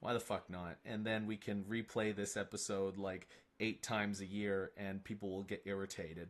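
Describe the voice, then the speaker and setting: A man's fairly low voice with monotone, flat intonation over a quiet background. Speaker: gaming streamer. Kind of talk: casual live stream chat. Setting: live stream with chat.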